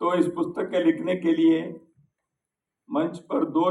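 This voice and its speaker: Vocal fry in a man's voice, with pitch varying in an ordinary way. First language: Kannada (speaking Hindi). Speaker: speaker at a book launch. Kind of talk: formal speech. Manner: formal.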